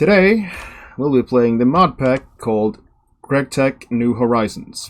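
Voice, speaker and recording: At a moderate pace, a man speaks in a medium pitch with a non-native accent. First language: not English. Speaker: gaming video creator. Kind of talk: gameplay commentary. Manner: casual, somewhat halting.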